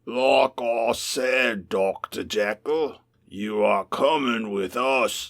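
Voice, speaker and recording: A man puts on a raspy character voice at a medium pitch. He speaks very slowly. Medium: read story. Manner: swaggering, gruff.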